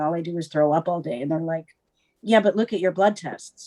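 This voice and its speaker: Over music in the background, a woman with a Canadian accent speaks at a medium pitch with ordinary pitch variation. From Ontario, Canada. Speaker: guest sharing personal experience. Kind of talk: casual interview, personal testimony. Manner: hesitant, many fillers.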